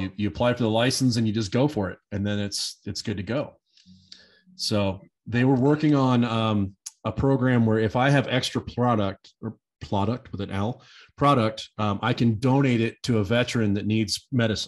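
With an American accent, an ordinary speaking voice talks at a moderate pace with fairly even intonation over a quiet background. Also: man, medium pitch for a man. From Nebraska. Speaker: hemp industry advocate. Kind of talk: casual chat.

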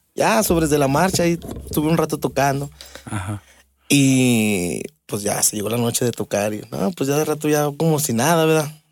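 A man speaking at a fairly high pitch and a moderate pace has an ordinary speaking voice. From Mexico, Aguascalientes. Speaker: drummer. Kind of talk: casual interview.

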